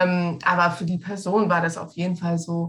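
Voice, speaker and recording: Speaking at a fairly slow pace, a woman has a somewhat breathy voice with a fairly low pitch. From Egypt. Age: 20s. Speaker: travel scholarship alumna. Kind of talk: interview.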